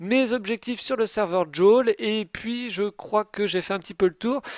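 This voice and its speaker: A high-pitched male voice shows ordinary pitch variation. The recording sounds dry and close, with no echo. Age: 20s. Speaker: game streamer. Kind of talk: live stream commentary. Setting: live stream. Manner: casual, hesitant fillers.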